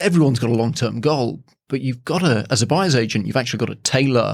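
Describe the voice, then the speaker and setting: A man with an English accent and lively intonation, on a very clean recording with a silent background. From England. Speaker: property strategist and buyer's agent. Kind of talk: podcast interview.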